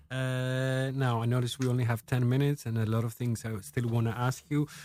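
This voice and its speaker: Speaking in a Greek accent, a man at a medium pitch keeps a fairly quick pace. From Greece (Thessaloniki). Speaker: radio host. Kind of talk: interview; radio announcement. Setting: radio studio.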